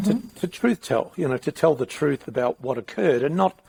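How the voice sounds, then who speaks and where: This man has an unremarkable speaking voice, lively intonation and a moderate pace, with a dry, close sound with no echo. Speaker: podcast host. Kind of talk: casual podcast conversation.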